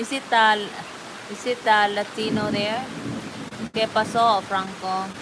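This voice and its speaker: A woman with a Filipino accent speaks at a very slow pace. Noticeable background noise runs underneath. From Philippines, Davao, Mindanao. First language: Bisaya. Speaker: livestream host. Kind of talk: casual chat. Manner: chatty, filler-heavy.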